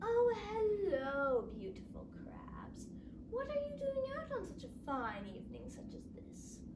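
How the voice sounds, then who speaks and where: Loud background noise runs under the speech. A put-on character voice talks at a fairly slow pace. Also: woman. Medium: read story. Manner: smug, self-satisfied.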